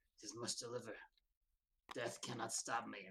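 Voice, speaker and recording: A man puts on a hoarse, raspy character voice at a medium pitch and moderate pace. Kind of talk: archaic. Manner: determined, dramatic.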